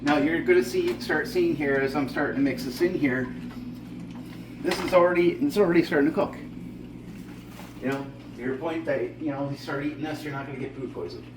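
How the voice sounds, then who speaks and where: A man's voice comes with audible room echo. Background noise is noticeable too. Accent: Newfoundland. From Newfoundland, Canada. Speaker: home cooking show host. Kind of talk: cooking tutorial. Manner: casual, frequent filler words.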